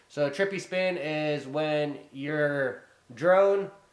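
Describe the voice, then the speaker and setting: A man speaks loudly at a fairly high pitch. His pitch varies in an ordinary way. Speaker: drone hobbyist vlogger. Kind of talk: casual vlog talk to camera. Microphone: poor built-in camera mic.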